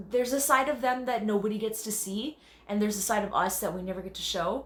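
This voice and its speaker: A woman with a Canadian accent, fairly high-pitched and bubbly and animated, with ordinary pitch variation, noticeable background noise and audible room echo. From Canada. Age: 30s. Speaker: dancer and choreographer. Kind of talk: self-tape audition monologue. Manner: loud and bubbly.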